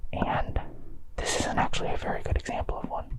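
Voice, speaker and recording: A whisper can be heard over noticeable background noise. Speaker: ASMR creator in fursuit. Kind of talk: ASMR plant tour, casual talk to camera. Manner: whispered, close up; casual, relaxed.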